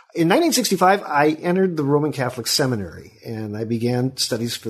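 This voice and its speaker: A man's somewhat breathy voice keeps a moderate pace, his intonation lively. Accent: American. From Sacramento, California. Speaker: history professor and author. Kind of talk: interview.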